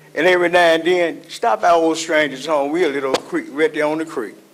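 A man with a fairly high pitch talks at a fairly quick pace in an animated tone. Noticeable background noise runs behind him. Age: 70s. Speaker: pastor. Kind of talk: speech at council meeting. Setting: council chambers. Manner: animated, call-and-response preaching style.

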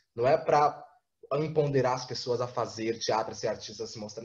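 A man is speaking, somewhat breathy. The background is quiet. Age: 20s. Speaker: theatre artist; interviewee. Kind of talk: interview. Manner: halting. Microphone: webcam.

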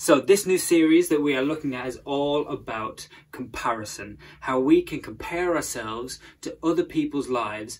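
His pace is moderate. The man's pitch varies in an ordinary way. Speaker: presenter. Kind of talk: sermon-style talk to camera. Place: home room. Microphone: phone near.

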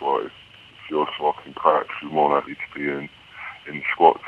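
Moderate pace against noticeable background noise. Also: man. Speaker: drug dealer and user. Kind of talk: anonymous interview. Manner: halting, many fillers.

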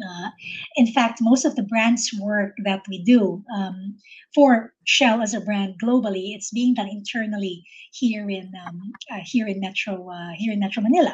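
A woman's voice sits at a fairly high pitch with ordinary pitch variation. It sounds somewhat breathy. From Philippines. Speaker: oil company executive; guest. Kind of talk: interview. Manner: halting. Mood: friendly, warm. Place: home room. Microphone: video call.

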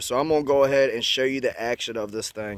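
Here a man speaks with ordinary pitch variation. The sound is dry with no echo. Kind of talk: casual vlog chat. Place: waterside. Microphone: phone near.

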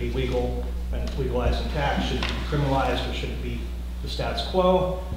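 Strong room echo and noticeable background noise surround speech delivered at a fairly quick pace. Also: man. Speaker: drug policy advocate. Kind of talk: legislative testimony. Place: meeting room. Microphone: camera far.

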